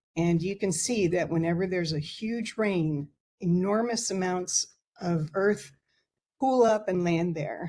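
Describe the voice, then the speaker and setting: A woman speaks at a fairly slow pace with a fairly low pitch, a dark, mellow, somewhat breathy tone and ordinary pitch variation. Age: 70s. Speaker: public testifier, former wildlife biologist. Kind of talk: public testimony.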